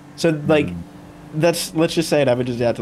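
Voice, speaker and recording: A man talks with lively intonation. Noticeable background noise runs behind him. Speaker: gaming YouTuber. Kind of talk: casual chat, podcast.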